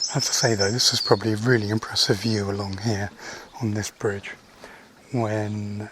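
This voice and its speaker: The speech moves at a moderate pace with monotone, flat intonation. Noticeable background noise runs underneath. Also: man. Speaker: hiking vlogger. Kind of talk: walking vlog narration. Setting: outdoors, countryside walk. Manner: whispering, quieter than usual.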